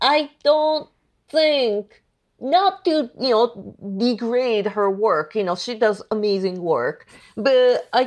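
A woman with a Japanese accent speaks at a very slow pace, her intonation lively. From Tokyo, Japan. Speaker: illustrator. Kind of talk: casual interview.

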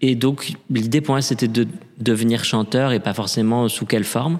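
Medium pitch from a man at a fairly slow pace, fairly even in intonation, on a very clean recording with a silent background. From Paris, France. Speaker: opera singer and drag queen. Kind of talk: interview. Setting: reverberant room in a theatre.

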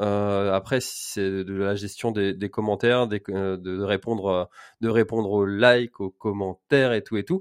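A man with a plain, everyday voice speaks fairly slowly at a fairly low pitch with fairly even intonation, on a very clean, dry, close recording with no echo and a silent background. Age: 30s. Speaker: podcast host. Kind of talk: casual interview.

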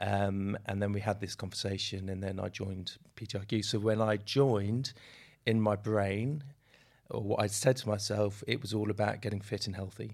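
A man with an unremarkable speaking voice and a fairly low pitch talks at a moderate pace with fairly even intonation. The recording is very clean with a silent background. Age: 50s. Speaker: doctor, podcast guest. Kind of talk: casual interview.

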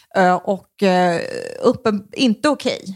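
The woman's voice sits at medium pitch and moves at a fairly slow pace. The sound is dry and close with no echo, on a very clean recording with a silent background. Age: 30s. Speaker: comedian. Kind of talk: casual chat. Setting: host's home. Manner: soothing, rolling delivery.

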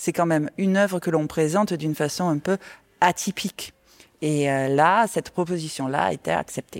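A woman speaks with a slight Marseille accent. Her pitch is fairly low. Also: ordinary pitch variation, moderate pace. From Marseille, southern France. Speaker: exhibition designer. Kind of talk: interview, guided tour.

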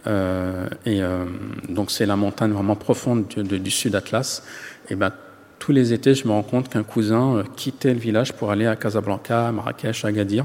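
A man with a plain, everyday voice speaks at a fairly low pitch and moderate pace, his intonation fairly even. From France, Yvelines housing estate. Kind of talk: interview.

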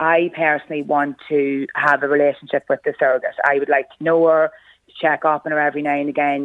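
With an Irish accent, a woman talks at a fairly quick pace in a very deep, low pitch. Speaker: mother. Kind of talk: interview. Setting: phone call. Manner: halting.

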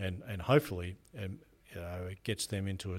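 A man with a very deep, low pitch and an Australian accent, somewhat breathy, at a fairly quick pace with fairly even intonation, in a very clean recording with a silent background. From Australia, rural New South Wales. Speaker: prison general manager. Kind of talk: interview.

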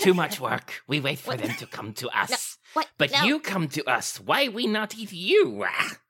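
Someone uses a put-on character voice at a middle pitch, moving along at a moderate pace. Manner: blunt broken speech, greedy.

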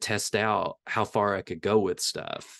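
A man with a Tennessee accent, recorded with a dry, close sound with no echo against a quiet background. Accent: Southern US (Tennessee). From US South, rural Tennessee. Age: 40s. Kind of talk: casual interview. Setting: video call.

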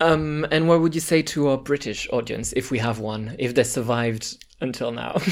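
A man with a French accent at a medium pitch, ordinary pitch variation, a moderate pace and hardly any pauses. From France. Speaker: podcast host. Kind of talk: casual chat.

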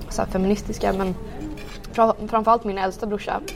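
Over noticeable background noise, a woman speaks at a medium pitch in a flat, monotone way. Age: 20s. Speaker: tech and finance professional. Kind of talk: casual interview. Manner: halting, many fillers.

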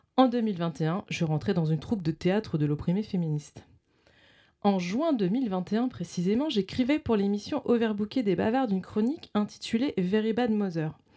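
Her tone is dark and mellow. The woman is recorded very cleanly, with a silent background. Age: 40s. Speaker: radio show co-host. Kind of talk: reading aloud. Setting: studio.

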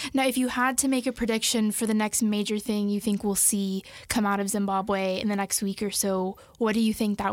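A woman with an ordinary speaking voice talks at a medium pitch and a fairly quick pace, her intonation fairly even. Her loudness stays very even, and the recording is very clean with a silent background. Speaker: interviewer.

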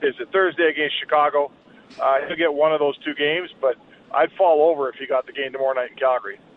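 A man with a Canadian accent and a fairly high pitch talks at a very fast pace with fairly even intonation. Noticeable background noise sits behind him. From Edmonton, Canada. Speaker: hockey journalist. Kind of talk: casual sports talk interview.

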